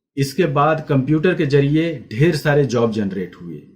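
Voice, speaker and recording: This man speaks with lively intonation and a somewhat breathy voice. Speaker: graphic designer. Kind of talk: educational class talk to camera.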